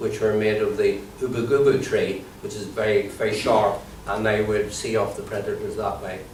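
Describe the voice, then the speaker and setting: A man speaks at a moderate pace in an Irish accent over noticeable background noise. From Ireland. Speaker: comedian and comedy trainer. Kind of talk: improvised mock lecture.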